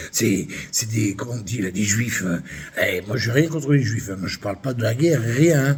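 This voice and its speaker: The voice moves at a moderate pace. Its intonation is lively. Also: man. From France, Limoges. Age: 60s. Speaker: vlogger. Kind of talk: angry rant monologue. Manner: animated.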